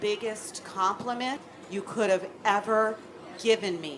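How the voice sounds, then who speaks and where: A woman talks with an American accent and ordinary pitch variation. Noticeable background noise and audible room echo are present. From US West Coast, Oakland. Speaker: children's book author. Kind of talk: live panel Q&A. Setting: stage with audience.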